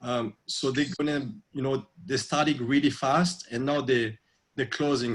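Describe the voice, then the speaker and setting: With a French accent, a man speaks at a fairly slow pace in a medium pitch with fairly even intonation. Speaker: restaurateur. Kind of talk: interview. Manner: halting with many fillers.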